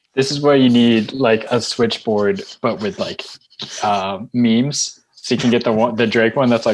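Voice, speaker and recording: A man talks at a moderate pace with an American accent. His voice is medium-pitched with ordinary pitch variation. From US West Coast, San Francisco Bay Area. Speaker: camera operator and video editor. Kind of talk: casual chat.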